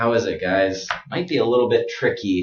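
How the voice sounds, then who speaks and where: A man with an American accent speaks at a fairly slow pace. His voice is somewhat breathy. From United States. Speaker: pronunciation teacher. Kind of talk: tutorial. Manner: slow, exaggerated articulation of sounds.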